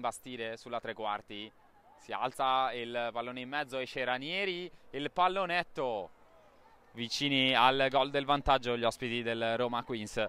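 This man talks at a fairly slow pace in a bright, sharp, animated tone, with a medium pitch and ordinary pitch variation. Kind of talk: live sports commentary. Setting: football match commentary. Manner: animated, urgent, clipped phrases.

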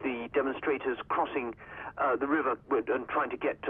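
This man's intonation stays fairly even as he speaks. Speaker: news correspondent. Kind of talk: news report by phone. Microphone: phone line.

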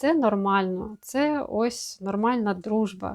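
A woman talks at a very slow pace with a fairly high pitch and ordinary pitch variation. The recording is very clean, with a silent background. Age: 30s. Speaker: video blogger, mother. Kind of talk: personal vlog monologue. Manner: halting, with many filler sounds.

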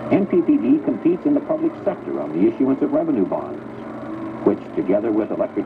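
Noise is clearly audible behind the speaker. He, a man, talks somewhat quickly. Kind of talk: 1980s corporate film narration, scripted voiceover. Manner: formal, even-paced, authoritative, stately announcer delivery.

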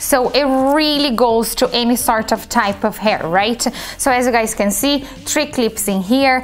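A woman talks with ordinary pitch variation, and light background noise can be heard. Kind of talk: product demonstration tutorial. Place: shop.

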